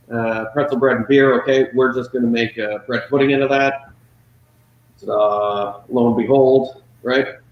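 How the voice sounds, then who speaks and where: Here is an ordinary speaking voice from a man at medium pitch. He keeps a moderate pace and fairly even intonation. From Prince Edward Island, Canada. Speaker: chef. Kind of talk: casual interview chat.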